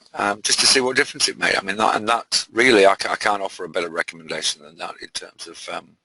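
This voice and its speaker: A man with a British accent at a very fast pace and hardly any pauses, fairly low in pitch with a bright, sharp tone, big swings in loudness and a dry, close sound with no echo. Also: ordinary pitch variation. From UK. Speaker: trading mentor. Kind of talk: live webinar presentation. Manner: halting, many fillers.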